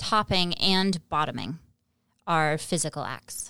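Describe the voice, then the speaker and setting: A woman speaks on a very clean recording. The background is silent. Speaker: adult film performer. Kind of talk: casual chat. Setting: studio.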